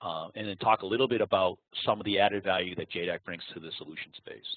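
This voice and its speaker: With a Boston accent, a man speaks at a very fast pace and a fairly low pitch. His intonation is fairly even, but his loudness swings widely. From Boston area, US. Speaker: applications engineer. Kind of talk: webinar presentation. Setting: online webinar. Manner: halting, with many fillers.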